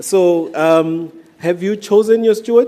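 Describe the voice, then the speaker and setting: Speaking at a very slow pace, a man talks with a strong African accent. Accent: thick African. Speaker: event moderator. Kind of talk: event hosting.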